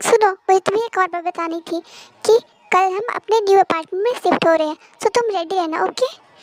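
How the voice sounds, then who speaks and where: A woman's put-on character voice, extremely high-pitched and fairly quick, in dry, close sound with no echo. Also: ordinary pitch variation. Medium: fan dub. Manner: curt, bossy.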